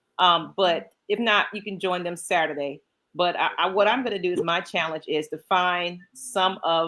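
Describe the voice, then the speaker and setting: A woman's bright, sharp voice with an American accent, medium pitch, ordinary pitch variation and a moderate pace. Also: very clean recording, silent background. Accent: Southern accent, toned down. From Georgia, US South. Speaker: podcast co-host. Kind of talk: casual chat.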